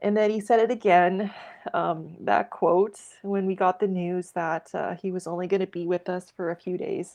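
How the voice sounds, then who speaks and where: A woman at medium pitch, in a Canadian Prairie accent, with monotone, flat intonation at a moderate pace. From Saskatchewan, Canada. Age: 30s. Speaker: egg and grain farmer. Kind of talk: interview. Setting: remote call from home.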